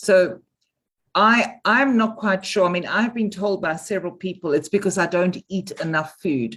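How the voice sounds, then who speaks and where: Pitched in the medium range, a woman with an unremarkable speaking voice keeps a moderate pace and ordinary pitch variation. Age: 60s. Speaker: webinar participant. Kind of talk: casual chat. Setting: video call.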